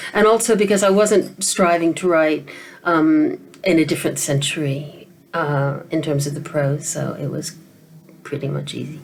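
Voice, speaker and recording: This woman, with a very deep, low pitch and an American accent, speaks at a moderate pace with ordinary pitch variation. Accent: mid-Atlantic, between American and British. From American, grew up in Asia. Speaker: novelist. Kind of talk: interview. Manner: hesitant, many fillers and repetitions.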